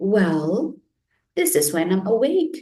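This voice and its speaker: In a put-on character voice, a woman speaks at medium pitch with very wide pitch swings. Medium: read story. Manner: gentle, friendly.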